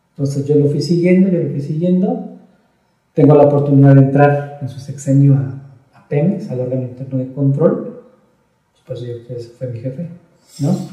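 A man with a fairly high pitch and a dark, mellow tone speaks at a moderate pace, somewhat breathy, with ordinary pitch variation and audible room echo. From Mexico City. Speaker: pedagogue and business consultant. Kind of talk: interview. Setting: office.

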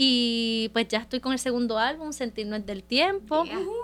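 Against noticeable background noise, a woman with a high voice talks fairly slowly with lively intonation. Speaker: singer-songwriter and podcast co-host. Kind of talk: casual chat.

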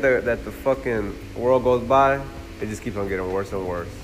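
Talking fairly quickly with hardly any pauses, a man uses lively intonation in a space with audible room echo. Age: 20s. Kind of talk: casual chat.

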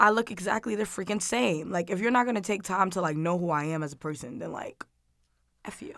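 In a plain, everyday voice, a woman with an American accent speaks at medium pitch and a fairly quick pace with lively intonation, on a very clean recording with a silent background. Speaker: college student. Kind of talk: casual chat.

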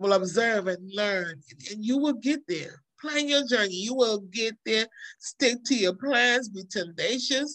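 A woman speaks in a normal speaking voice at a fairly high pitch. Her intonation is lively. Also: fairly slow pace. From New York, born in Trinidad. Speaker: nurse and nonprofit educator, author. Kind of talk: casual interview.

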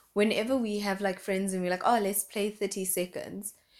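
A woman speaks in an animated tone at a fairly quick pace. Her pitch sits in the medium range. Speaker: podcast co-host. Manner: animated, excitable.

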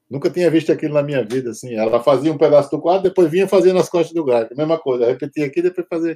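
A man's fairly high, dark, mellow voice at a very fast pace with hardly any pauses, dry and close with no echo. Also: ordinary pitch variation. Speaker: tattoo artist and punk musician. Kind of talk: casual chat.

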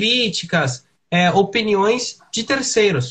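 At a very slow pace, a man talks in a high pitch with lively intonation. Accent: Brazilian. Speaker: podcast co-host. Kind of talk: casual chat.

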